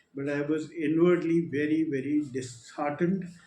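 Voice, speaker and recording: A man with an Indian accent, fairly high-pitched, his intonation fairly even, with audible room echo and music in the background. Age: 70s. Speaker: retired air force officer. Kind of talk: testimony. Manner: halting.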